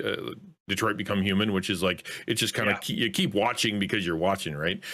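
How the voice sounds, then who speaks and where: Speaking at a very fast pace, a man with a Canadian accent has a fairly low pitch. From Canada. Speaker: content creator. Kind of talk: casual chat. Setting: video call. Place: home room. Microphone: studio mic.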